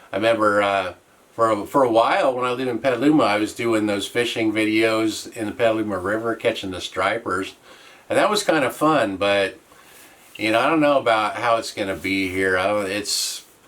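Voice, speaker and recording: Against noticeable background noise, a man speaks at a fairly quick pace in a medium pitch with ordinary pitch variation. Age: 60s. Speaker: YouTuber, widower. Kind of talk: casual vlog update. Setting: small cabin. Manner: halting.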